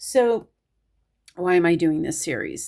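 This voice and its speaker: Pitch variation stays ordinary while the delivery runs fairly slow. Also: woman. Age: 50s. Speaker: astrology video creator. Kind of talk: casual monologue. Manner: hesitant, filler-heavy.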